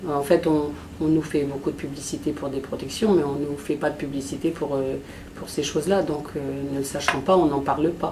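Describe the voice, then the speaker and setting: Over noticeable background noise, a woman with a very deep, low voice talks at a moderate pace with ordinary pitch variation. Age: 60s. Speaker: patient giving testimony. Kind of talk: testimony. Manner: halting, many hesitations.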